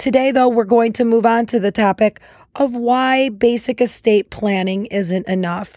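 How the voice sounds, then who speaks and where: A woman's dark, mellow tone with fairly even intonation, in a very clean recording over a silent background. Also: moderate pace. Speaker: podcast host. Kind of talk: podcast intro.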